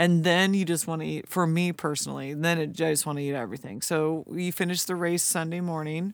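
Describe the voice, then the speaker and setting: A woman talks at a fairly quick pace with hardly any pauses and fairly even intonation. The recording is very clean, with a silent background. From California (Lodi). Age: 40s. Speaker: ultra runner. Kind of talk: casual chat.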